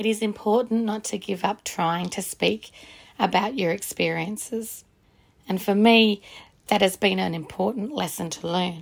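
On a very clean recording with a silent background, a woman speaks with vocal fry and ordinary pitch variation. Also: medium pitch for a woman, moderate pace. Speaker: podcast introducer. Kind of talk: scripted intro and outro.

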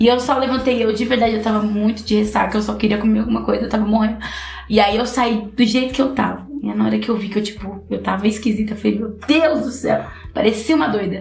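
Amid noticeable background noise and audible room echo, a woman speaks very fast with fairly even intonation. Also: fairly high pitch for a woman. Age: 30s. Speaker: podcast host. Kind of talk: casual chat.

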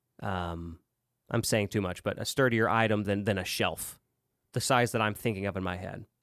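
A man speaks in a normal speaking voice at a moderate pace, his pitch fairly low and his intonation fairly even, on a very clean recording with a silent background. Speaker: podcast host. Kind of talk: casual banter, comedy skit.

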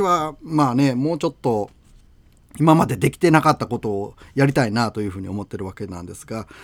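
Lively intonation from a man at a moderate pace, on a very clean recording with a silent background. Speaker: radio host. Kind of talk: casual radio talk. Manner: halting, many fillers.

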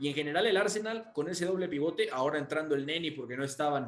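A fairly high-pitched man at a fairly quick pace, amid noticeable background noise. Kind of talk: radio sports panel discussion, match analysis. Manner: relaxed, explanatory, measured.

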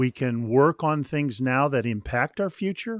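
This man has an ordinary speaking voice, an American accent, a fairly high pitch, and lively intonation. The sound is dry and close with no echo, on a very clean recording with a silent background. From Northern California. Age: 60s. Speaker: author and spiritual director. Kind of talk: interview.

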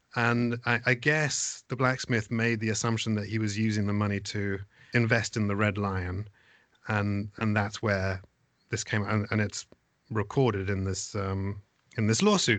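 Fairly even in intonation and fairly low in pitch, a man with an East Anglian accent speaks at a moderate pace. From England, East Anglia (Suffolk). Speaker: theatre managing director and actor. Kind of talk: casual chat. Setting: video call.

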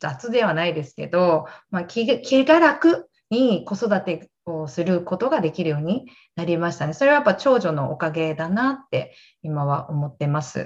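Her pitch fairly low, a woman speaks with very wide pitch swings. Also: moderate pace. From Japan, Gunma. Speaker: fitness instructor. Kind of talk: casual chat.

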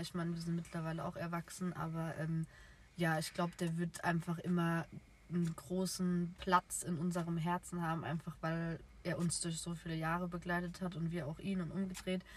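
Somewhat breathy and fairly low-pitched, a woman talks at a moderate pace in a monotone, flat intonation. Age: 20s. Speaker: podcast co-host, nursery educator. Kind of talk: casual chat. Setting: in a car.

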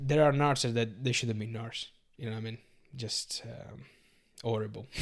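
A man at medium pitch with an Italian accent, fairly even intonation and a moderate pace. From Sardinia, Italy. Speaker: BJJ competitor and nurse. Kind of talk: casual podcast interview. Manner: halting, searching for English words.

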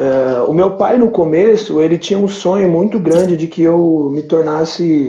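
Pitched fairly high, a man speaks at a fairly slow pace. His pitch varies in an ordinary way. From Brazil, São Paulo (São Miguel). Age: 30s. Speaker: entrepreneur, liquor store owner. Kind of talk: casual chat. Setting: live stream.

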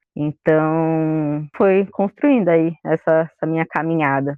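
A woman's fairly slow speech, pitched very deep and low. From São Paulo, Brazil. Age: 20s. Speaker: librarian and environmental collective member. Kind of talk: casual interview chat.

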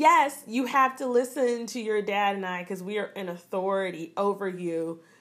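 An unremarkable speaking voice from a woman, fairly high in pitch, at a fairly slow pace with lively intonation. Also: big swings in loudness. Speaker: podcast host. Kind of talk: casual chat.

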